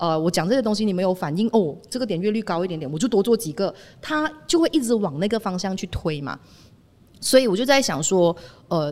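Her medium pitch swings very widely as a woman speaks at a fairly quick pace. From Malaysia. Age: 30s. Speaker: former radio DJ, media founder. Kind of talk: casual chat. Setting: on location.

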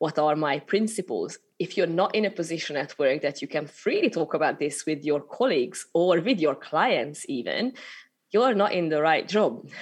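With a slight Hungarian accent, a woman speaks at a fairly low pitch and moderate pace against a quiet background. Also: lively intonation. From Hungary. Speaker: spiritual business mentor. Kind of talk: interview conversation. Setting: remote recording.

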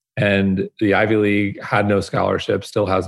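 This man has a fairly low pitch. His voice sounds somewhat breathy. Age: 40s. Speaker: wellness media founder. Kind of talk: interview. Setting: video call.

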